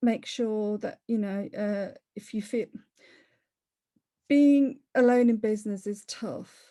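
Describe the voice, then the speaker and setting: A woman with a Leicester accent speaks very slowly, her fairly high voice carrying a dark, mellow tone. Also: quiet background. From Leicester, England. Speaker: property investor. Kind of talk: interview. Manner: conversational, with fillers and self-corrections.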